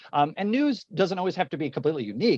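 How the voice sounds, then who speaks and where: A man's voice, dry and close with no echo, swings very widely in pitch. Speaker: educator and webinar host. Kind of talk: casual conversation. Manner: fast.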